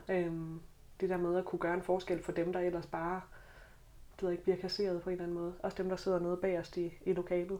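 A woman at medium pitch. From Southern Jutland, Denmark. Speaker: teacher student and student politician. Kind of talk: podcast panel discussion. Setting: studio.

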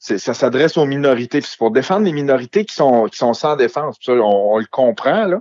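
In an ordinary speaking voice, a man talks at a moderate pace with hardly any pauses, a fairly high pitch, lively intonation and big swings in loudness, in a dry, close sound with no echo. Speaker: podcaster and amateur comedian. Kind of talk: casual chat.

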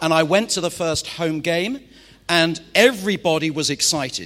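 In a Mancunian accent, a man speaks fairly slowly in a high, bright, sharp voice. His pitch varies in an ordinary way. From Manchester, northwest England. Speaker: pastor. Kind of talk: sermon. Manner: animated.

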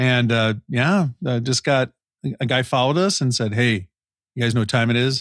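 A man at medium pitch with ordinary pitch variation and very even loudness, in a dry, close sound with no echo on a very clean recording with a silent background. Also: moderate pace. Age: 40s. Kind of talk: casual chat. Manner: animated.

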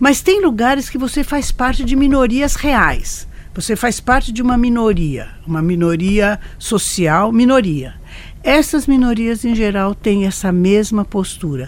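Lively intonation from a woman at a fairly slow pace, with noticeable background noise. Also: fairly high pitch for a woman. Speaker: senior scientist and professor. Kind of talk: panel discussion.

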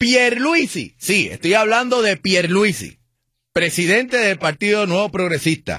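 A man is talking at a fairly slow pace. His tone is bright and sharp. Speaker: radio host. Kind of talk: call-in radio show. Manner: animated.

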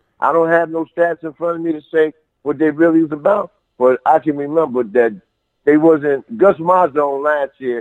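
Heard as a dry, close sound with no echo, a man with a fairly high pitch speaks at a moderate pace in an unremarkable speaking voice. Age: 50s. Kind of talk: casual chat.

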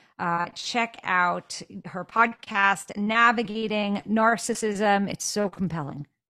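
A woman's bright, sharp tone at a very slow pace. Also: medium pitch for a woman, ordinary pitch variation. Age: 50s. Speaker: podcast host. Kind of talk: casual chat.

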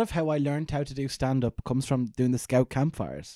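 A man talks fairly quickly with an Irish accent. His tone is dark and mellow, and the sound is dry and close with no echo. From Ireland. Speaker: comedian. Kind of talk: casual chat. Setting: in the host's house.

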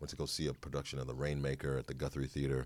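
The speaker is a man with an American accent. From Chicago. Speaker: actor. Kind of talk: casual interview chat. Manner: animated, joking.

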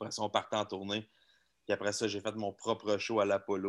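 The recording is very clean with a silent background as a man speaks in a Quebec accent. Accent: Québécois French. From Quebec, Laval. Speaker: magician. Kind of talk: casual chat.

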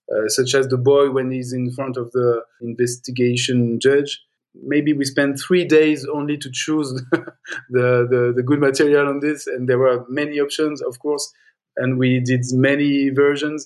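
Speaking at a fairly slow pace, a man with a fairly high pitch keeps his intonation monotone and flat. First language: French. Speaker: film editor. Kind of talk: interview, casual. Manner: halting, hesitant with fillers.

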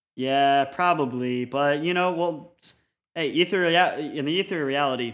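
A man with an American accent speaks in a plain, everyday voice. His pitch is fairly high with ordinary variation, and his pace is moderate. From Colorado. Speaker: podcast host. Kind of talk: casual chat.

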